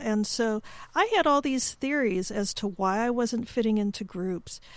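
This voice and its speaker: A woman's fairly high-pitched voice, a normal speaking voice, at a moderate pace with ordinary pitch variation. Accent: American. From US Midwest, Chicago. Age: 50s. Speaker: podcast host. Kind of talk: interview.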